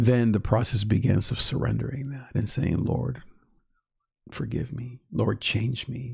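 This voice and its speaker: With vocal fry and a medium pitch, a man speaks at a fairly slow pace with fairly even intonation. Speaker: YouTube channel host, Enneagram teacher. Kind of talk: live-stream teaching talk. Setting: live stream.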